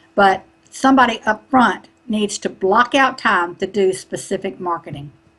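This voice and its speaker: A somewhat breathy woman with a Southern US accent and ordinary pitch variation. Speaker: online marketing business coach. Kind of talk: interview.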